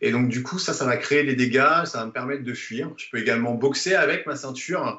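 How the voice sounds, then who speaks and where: Medium-pitched male speech at a moderate pace, with audible room echo and noticeable background noise. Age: 30s. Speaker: self-defense instructor. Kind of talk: interview. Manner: hesitant, many fillers.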